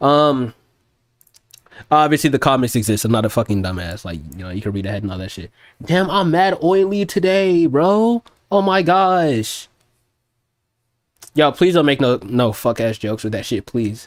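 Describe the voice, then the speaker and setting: Loud and animated, the voice moves at a moderate pace with very wide pitch swings and long, frequent pauses. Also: man, medium pitch for a man. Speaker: music producer streamer. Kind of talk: casual livestream chat. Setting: livestream.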